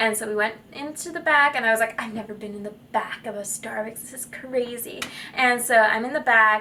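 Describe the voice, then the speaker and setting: A woman with a fairly high pitch talks at a fairly quick pace with hardly any pauses. Noticeable background noise runs underneath. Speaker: vlogger. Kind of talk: casual vlog storytelling. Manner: strained projection; chatty, filler-heavy.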